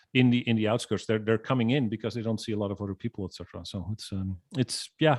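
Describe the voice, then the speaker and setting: A man's medium-pitched voice at a very fast pace, hardly any pauses, ordinary pitch variation, and a dry, close sound with no echo. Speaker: business consultant and trainer. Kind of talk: casual interview chat. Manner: halting, many fillers.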